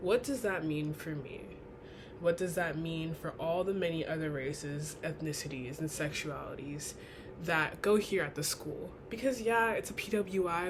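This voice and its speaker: Audible room echo surrounds a woman whose very deep, low voice is somewhat breathy. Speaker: college student. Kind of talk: class speech.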